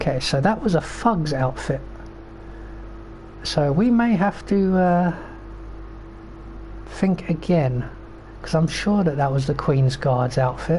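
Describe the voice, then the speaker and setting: Speech at a very slow pace, broken by long, frequent pauses, comes through noticeable background noise. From Britain. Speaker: video game streamer. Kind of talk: gameplay commentary. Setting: live stream. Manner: casual, rambling with fillers.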